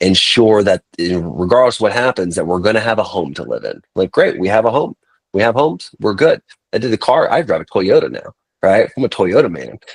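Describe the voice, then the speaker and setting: A man speaks at a fairly quick pace, his voice recorded dry and close with no echo. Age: 30s. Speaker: podcast host and entrepreneur. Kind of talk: casual interview chat.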